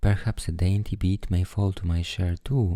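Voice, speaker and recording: A man with a very deep, low voice speaks softly at a fairly slow pace, his dark, mellow tone somewhat breathy and soothing. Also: very clean recording, silent background. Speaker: storyteller. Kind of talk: bedtime story reading. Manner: soothing, soft.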